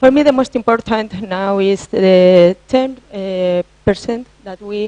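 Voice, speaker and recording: A woman with a non-native accent speaks at a very slow pace and a medium pitch, with ordinary pitch variation and big swings in loudness. The sound is dry and close with no echo. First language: Spanish. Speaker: IT consultant. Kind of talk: conference presentation. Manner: halting, many fillers.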